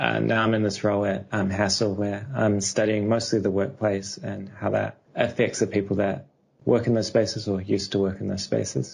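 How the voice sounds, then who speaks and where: A man with a New Zealand accent speaks at a moderate pace with hardly any pauses. Vocal fry runs through his voice. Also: fairly low pitch for a man, fairly even intonation. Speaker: architectural researcher. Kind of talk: podcast interview.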